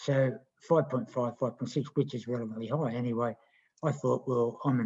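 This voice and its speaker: A medium-pitched man with an Australian accent at a fairly quick pace, with ordinary pitch variation. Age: 60s. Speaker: kart racer and health program client. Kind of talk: casual chat.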